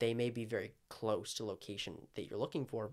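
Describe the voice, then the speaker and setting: This is a man at medium pitch. His intonation stays fairly even. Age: 20s. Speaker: realtor. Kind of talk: casual chat.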